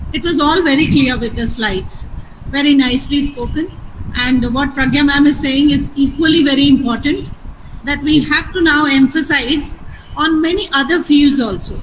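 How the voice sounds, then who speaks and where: A high-pitched woman's voice with fairly even intonation and noticeable background noise. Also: moderate pace. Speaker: biology teacher. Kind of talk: feedback comments. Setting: video call.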